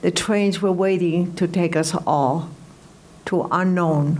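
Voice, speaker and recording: A woman with a fairly low pitch speaks very slowly in a monotone, flat intonation. Audible room echo fills the recording. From Greece. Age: 80s+. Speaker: Holocaust survivor and entertainer. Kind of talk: testimony.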